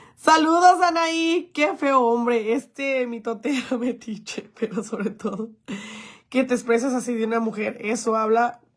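A woman with a high voice talks in an animated tone at a fairly slow pace, with ordinary pitch variation. The background is quiet. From Mexico, Jalisco. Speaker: influencer; livestreamer. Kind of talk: livestream chat. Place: home room. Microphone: phone near.

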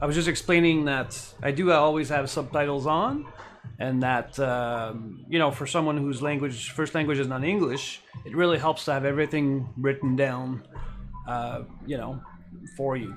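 Speech in a Quebec accent at a moderate pace, with fairly even intonation and faint music in the background. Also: man, fairly high pitch for a man. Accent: Québécois French accent in English. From Quebec, Canada. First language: French. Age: 40s. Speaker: Lego building streamer. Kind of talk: live stream chat while building. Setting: live Twitch stream. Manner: casual, hesitant with fillers. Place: home room.

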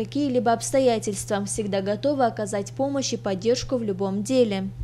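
Talking at a fairly quick pace, a woman is heard over noticeable background noise. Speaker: TV news reporter. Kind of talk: TV news report narration.

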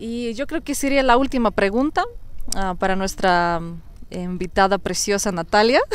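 A woman speaks with a Russian accent at a fairly slow pace, her pitch medium and her intonation lively. The sound is dry, with no echo. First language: Russian (speaking Spanish). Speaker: YouTuber. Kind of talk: casual interview. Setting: outdoors in a park. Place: forest. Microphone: lapel.

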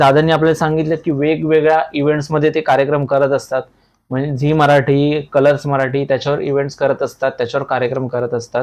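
A man's ordinary speaking voice, fairly high in pitch, with fairly even intonation. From Thane, Maharashtra, India. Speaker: YouTube interviewer. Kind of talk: casual interview. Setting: on location.

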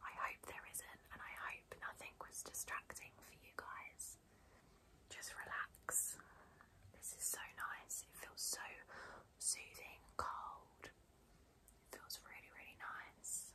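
A woman whispering at a very slow pace, calm in tone, with big swings in loudness. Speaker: beauty blogger / YouTuber. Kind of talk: ASMR unboxing and pamper video, soft-spoken talk to camera. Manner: soft-spoken, calm, relaxing, whispery. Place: home room.

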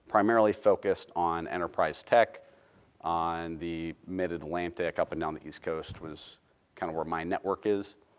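With ordinary pitch variation, a man talks at a very deep, low pitch. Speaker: presenter. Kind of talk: lecture. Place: hall.

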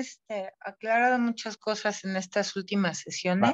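A woman talking at a fairly slow pace. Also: quiet background. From Mexico. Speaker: group participant. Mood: reflective, earnest. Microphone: video call.

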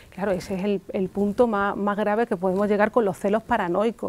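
A woman at medium pitch talks at a fairly quick pace in a dry sound with no echo. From Spain. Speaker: psychoanalyst; guest. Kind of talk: interview on local TV talk show. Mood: calm, explanatory. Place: studio. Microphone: lapel.

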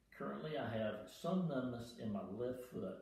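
Audible room echo surrounds the voice. The pace is fairly slow. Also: man. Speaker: retired airline pilot. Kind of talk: patient testimonial read from notes. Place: home room. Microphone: camera far.

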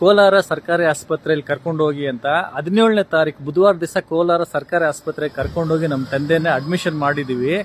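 A man speaks in a fairly high pitch with fairly even intonation, the sound dry and close with no echo. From Kolar district, Karnataka, India. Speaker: patient's son voicing a complaint. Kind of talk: public complaint to camera. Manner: agitated.

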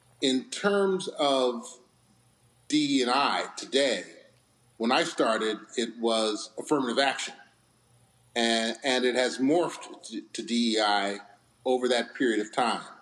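The speech moves at a very slow pace with long, frequent pauses. Pitch variation is ordinary, and audible room echo surrounds it. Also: man. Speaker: retired corporate executive; remote guest. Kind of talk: interview. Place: home room. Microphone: webcam.

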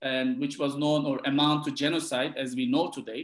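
A man with a Turkish accent talks over a quiet background, with audible echo from the room. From Turkey, Gaziantep; Turkey. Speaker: historian, book author. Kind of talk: interview about his book. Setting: video call. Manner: halting, many repetitions. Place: home room. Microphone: webcam.

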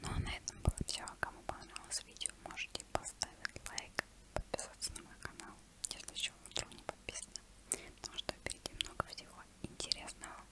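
A woman whispers in a soft-spoken way at a fairly quick pace. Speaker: ASMR creator. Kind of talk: soft ASMR talk and vlog outro. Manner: soft close-mic ASMR whisper. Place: home room. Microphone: earbuds.

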